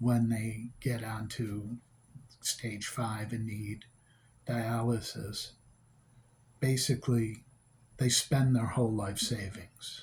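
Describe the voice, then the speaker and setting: A man's medium-pitched, somewhat breathy voice, very slow and monotone, with long, frequent pauses. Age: 60s. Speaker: vlogger with kidney failure. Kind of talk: rant.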